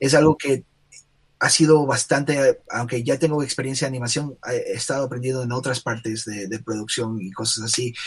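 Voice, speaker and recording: There is a somewhat breathy quality to this man's voice, and his intonation is fairly even. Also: medium pitch for a man, moderate pace. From Ecuador, Guayaquil. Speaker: illustrator and animator. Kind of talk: casual interview. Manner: halting, many fillers and repetitions.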